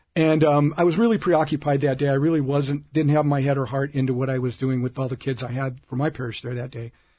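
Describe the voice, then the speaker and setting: With an American accent, a man talks at a very fast pace in a fairly high pitch, his tone dark and mellow, somewhat breathy, with fairly even intonation. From US Midwest (Omaha, Nebraska). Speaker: diocesan ministry director. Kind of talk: interview. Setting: studio.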